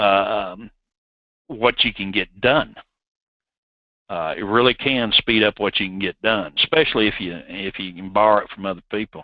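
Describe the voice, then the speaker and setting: Speaking at a moderate pace, a man with a Southern US accent leaves long, frequent pauses. His pitch is fairly low for a man, with ordinary variation. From US South. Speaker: software developer presenter. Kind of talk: technical webinar tutorial. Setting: online webinar.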